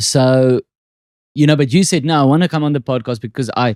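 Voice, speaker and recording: A man's dark, mellow voice with a South African accent, at a moderate pace and ordinary pitch variation, in a dry, close sound with no echo on a very clean recording with a silent background. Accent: Afrikaans accent, thicker on stage. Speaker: podcast host and comedian. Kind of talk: casual chat.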